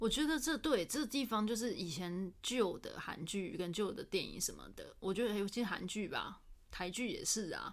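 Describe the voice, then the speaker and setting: Lively intonation and a moderate tempo from an unremarkable speaking voice. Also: woman. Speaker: podcast host. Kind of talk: casual chat.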